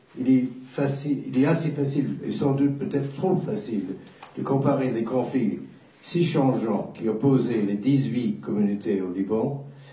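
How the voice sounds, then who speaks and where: A man at medium pitch, lively intonation and a fairly slow pace, with audible room echo and noticeable background noise. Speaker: war correspondent. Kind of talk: panel talk.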